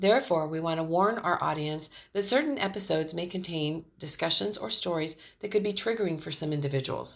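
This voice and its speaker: A woman with a normal speaking voice talks fairly quickly at a fairly low pitch, her intonation lively. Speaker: podcast host. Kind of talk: podcast disclaimer read.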